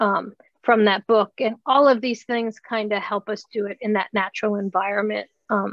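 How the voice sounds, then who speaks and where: A woman's fairly high voice, a normal speaking voice, with fairly even intonation at a moderate pace. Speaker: occupational therapist presenter. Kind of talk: online workshop presentation with Q&A. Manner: casual, many fillers.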